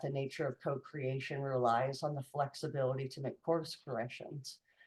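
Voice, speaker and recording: This woman's pitch is very deep and low, and her voice is somewhat breathy. She talks at a moderate pace. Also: hardly any pauses. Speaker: policy advocacy manager. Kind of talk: webinar presentation. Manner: halting.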